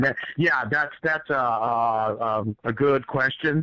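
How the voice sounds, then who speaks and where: At a fairly slow pace, a man with an American accent talks in a fairly high pitch with ordinary pitch variation. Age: 60s. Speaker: martial arts grandmaster. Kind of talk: interview. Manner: halting, many fillers.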